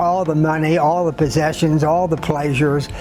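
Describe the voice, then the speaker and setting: There is noticeable background noise. A man speaks at a moderate pace in a fairly high pitch. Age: 80s+. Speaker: author and priest. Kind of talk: interview answer. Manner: hesitant, halting.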